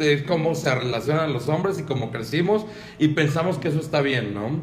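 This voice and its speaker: A man talks at a moderate pace with ordinary pitch variation, his voice carrying audible room echo over noticeable background noise. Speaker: podcast co-host. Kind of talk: casual chat.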